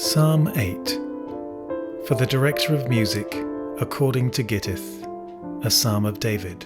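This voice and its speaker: Music in the background under a medium-pitched man with a British accent, fairly slow pace, long, frequent pauses and lively intonation. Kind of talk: scripture reading. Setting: piano accompaniment.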